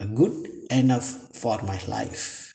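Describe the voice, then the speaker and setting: With an Indian accent, a man speaks in a dark, mellow tone marked by vocal fry. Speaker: professor, materials scientist. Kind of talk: prepared testimonial.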